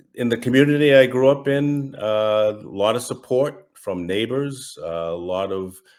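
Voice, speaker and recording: This man speaks with a Massachusetts accent. His pitch varies in an ordinary way. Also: medium pitch for a man, moderate pace. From US Northeast, Massachusetts. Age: 60s. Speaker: retired federal agent, estranged father. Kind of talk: interview testimony. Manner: halting, many fillers.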